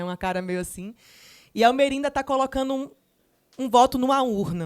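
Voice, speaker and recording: The recording is very clean with a silent background as a woman with an Alagoas accent speaks with ordinary pitch variation. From Brazil, Alagoas (Maceió). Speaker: journalist and author. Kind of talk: panel talk at a literary festival.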